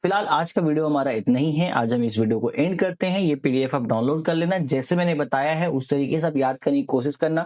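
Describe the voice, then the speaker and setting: At a moderate pace, a man speaks in a fairly high pitch with a dark, mellow tone and ordinary pitch variation. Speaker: online teacher. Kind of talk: exam revision tutorial. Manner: casual, conversational.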